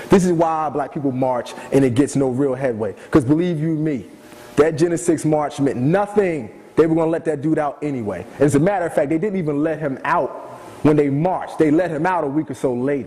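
A man whose pitch is fairly high talks fairly quickly, with ordinary pitch variation and noticeable background noise behind him. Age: 30s. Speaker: former TV producer. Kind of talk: lecture.

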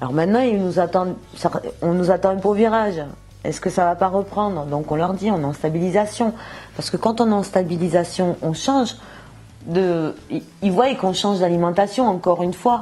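A woman talks at medium pitch and a moderate pace with ordinary pitch variation. Music plays in the background, and her pauses are long and frequent. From southern France, Montpellier. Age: 50s. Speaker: shopkeeper giving a diet testimonial. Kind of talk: testimony. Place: shop. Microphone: lapel.

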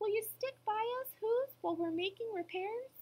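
The speaker uses a put-on character voice at a moderate pace. Loudness stays very even, with ordinary pitch variation. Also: woman, extremely high pitch for a woman. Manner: grateful, pleading.

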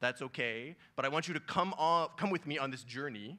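Bright, sharp tone from a man, quiet background behind. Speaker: synthetic biology scientist speaker. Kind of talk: conference talk. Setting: conference stage with audience. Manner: casual, conversational, animated. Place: stage. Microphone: handheld.

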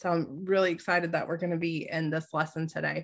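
A woman's low voice with vocal fry, fairly even intonation and a fairly quick pace

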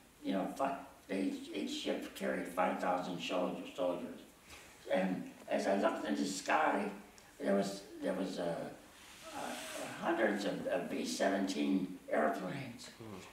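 Amid light background noise and audible room echo, a man with an American accent talks at a fairly slow pace. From Ohio. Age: 80s+. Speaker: war veteran. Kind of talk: interview answer. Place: home room.

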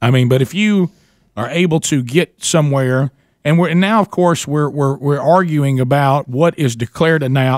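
An unremarkable speaking voice from a man, fairly high-pitched, at a moderate pace with ordinary pitch variation and a dry, close sound with no echo. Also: very clean recording, silent background. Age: 40s. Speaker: radio show host. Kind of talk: casual chat.

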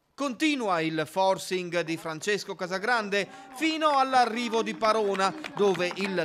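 An energetic voice moves at a fairly slow pace with very wide pitch swings. Noticeable background noise sits behind it. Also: man. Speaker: sports video narrator. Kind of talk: race commentary recap. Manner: brisk, energetic, steady narration.

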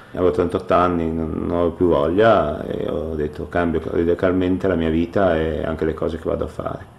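There is noticeable background noise behind this recording. A man talks in a very deep, low voice. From northern Italy, Ferrara (Emilia-Romagna). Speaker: retired professional football goalkeeper. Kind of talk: radio interview.

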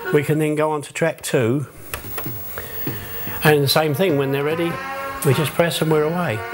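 Clear music plays in the background. Over it, a man speaks with a fairly high pitch. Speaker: music operator for entertainment group. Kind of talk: documentary interview answer. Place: home room.

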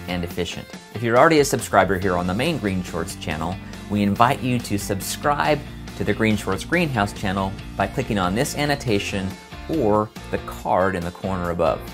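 Clear background music under a man's fairly low pitch at a fairly quick pace. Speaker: channel host. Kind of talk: channel announcement to camera. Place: studio.

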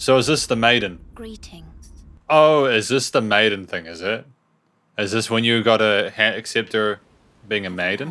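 The tone is bright and sharp. The pace is moderate. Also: man, ordinary pitch variation, big swings in loudness. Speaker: gaming YouTuber. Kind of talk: let's play commentary. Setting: home recording with webcam. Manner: animated.

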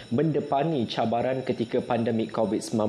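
Speaking at a moderate pace with a Malaysian accent, a man uses a medium pitch and ordinary pitch variation while light background noise sits behind him. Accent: Malaysian Malay. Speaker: TV news presenter. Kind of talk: live broadcast presenting. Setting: studio. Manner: formal. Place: studio. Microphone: lapel.

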